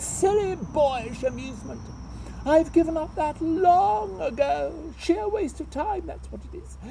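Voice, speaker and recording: This man uses a put-on character voice pitched extremely high. He talks at a fairly slow pace over clear background noise. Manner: disgusted, dismissive.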